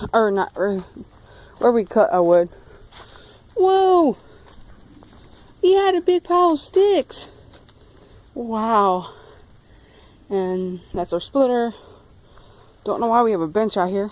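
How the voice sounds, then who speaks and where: Amid noticeable background noise, a woman with a fairly high voice speaks at a very slow pace, with very wide pitch swings and long, frequent pauses. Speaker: vlogger. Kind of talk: walking tour vlog.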